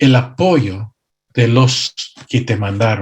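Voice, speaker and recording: Somewhat breathy, a man talks at a very slow pace. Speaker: pastor and missionary. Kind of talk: conference workshop talk. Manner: occasionally halting, self-correcting.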